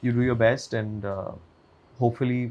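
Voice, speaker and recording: This man's pitch sits in the medium range. He talks in a monotone, flat intonation. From India (Mumbai). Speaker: actor. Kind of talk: interview.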